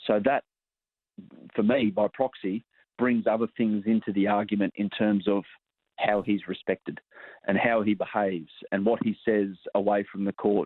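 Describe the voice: A man speaks at a moderate pace with fairly low pitch and fairly even intonation, the sound dry and close with no echo.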